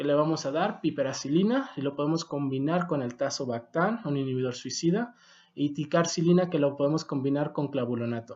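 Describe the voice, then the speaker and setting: Speaking at a fairly quick pace with a non-native accent, a man has a fairly high pitch and ordinary pitch variation. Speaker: medical doctor and educator. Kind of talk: video lecture.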